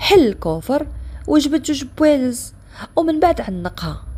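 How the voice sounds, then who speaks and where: The pace of this woman's speech is very slow. Her pitch swings very widely. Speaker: storyteller. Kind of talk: first-person dramatic story narration.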